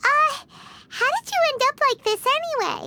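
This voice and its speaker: In a put-on character voice, the speaker sounds squeaky with an extremely high pitch at a moderate pace. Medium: video game. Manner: chatty, excitable.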